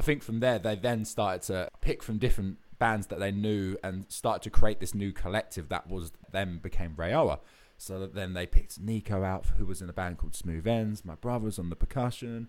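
A man with an Essex accent speaks in a fairly low voice, hardly pausing, his loudness swinging widely, on a very clean recording with a silent background. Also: ordinary pitch variation, fairly quick pace. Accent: southern English (Essex). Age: 20s. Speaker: rock band singer and bassist. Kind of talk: casual interview chat.

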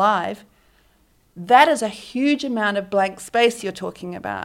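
With a slight New Zealand accent, a woman talks at a moderate pace and medium pitch with ordinary pitch variation, on a very clean recording with a silent background. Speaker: book publicist. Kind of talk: interview conversation. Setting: on location in Bondi Beach.

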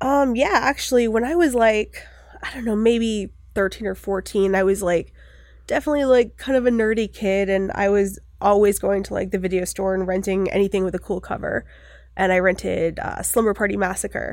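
With an American accent, a woman talks at a fairly quick pace in an unremarkable speaking voice of medium pitch and ordinary pitch variation, on a very clean recording with a silent background. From US Northeast, Maine (Bucksport near Bangor). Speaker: filmmaker and photographer. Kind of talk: casual interview chat.

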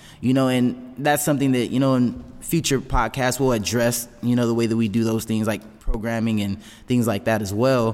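An unremarkable speaking voice from a man at medium pitch, moderate pace and fairly even intonation. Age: 20s. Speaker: fitness coach and gym owner. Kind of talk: casual chat.

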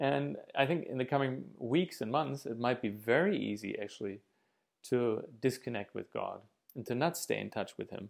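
The voice carries vocal fry and a lively intonation. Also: man, medium pitch for a man, moderate pace. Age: 30s. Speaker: missionary preacher. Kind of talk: sermon. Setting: video from home living room.

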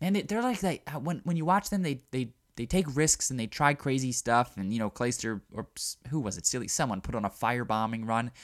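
In an American accent, a man with a normal speaking voice and medium pitch talks at a fairly quick pace with lively intonation, recorded very cleanly over a silent background. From Baltimore, US. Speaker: gaming podcast host. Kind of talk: solo podcast commentary. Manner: casual with many fillers and repetitions.

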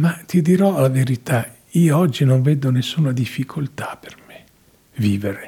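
A man speaks in a dark, mellow tone that is somewhat breathy, at a fairly slow pace. His loudness swings widely. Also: medium pitch for a man, ordinary pitch variation. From Italy. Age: 80s+. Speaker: actor and theatre director. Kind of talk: interview. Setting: studio. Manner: halting.

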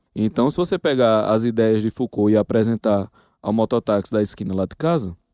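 A man speaks at a fairly quick pace with a dark, mellow tone and ordinary pitch variation, the sound dry and close with no echo against a quiet background. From Northeast Brazil, Paraíba. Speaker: professor. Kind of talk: casual chat.

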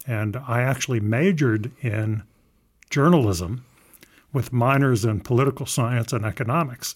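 A man's somewhat breathy, medium-pitched voice with an American accent. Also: ordinary pitch variation, moderate pace. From US South, Southern Maryland. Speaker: engineering professor. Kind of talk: interview.

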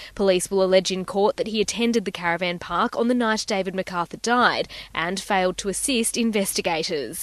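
Talking at a fairly quick pace with hardly any pauses, a woman with an Australian accent uses medium pitch and ordinary pitch variation, recorded dry and close with no echo against a quiet background. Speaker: news reporter. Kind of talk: pre-recorded court news report. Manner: steady, factual, formal reporting tone.

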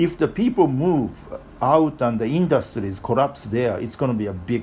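A man speaks with a Japanese accent and lively intonation. His pace is moderate. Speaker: author and activist. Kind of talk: interview. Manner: halting.

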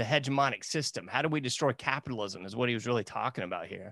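A man with a medium pitch speaks against a quiet background, an unremarkable speaking voice. His pitch varies in an ordinary way. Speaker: podcast host and researcher. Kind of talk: casual interview conversation.

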